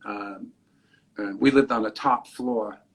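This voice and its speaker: A man's intonation is fairly even. His pitch sits at a medium level. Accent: New York. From New York City, the Bronx. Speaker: comedian and radio personality. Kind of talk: interview. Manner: halting.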